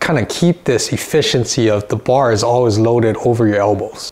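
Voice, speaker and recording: A man's speech moves along at a moderate pace. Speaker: fitness coach. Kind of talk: tutorial.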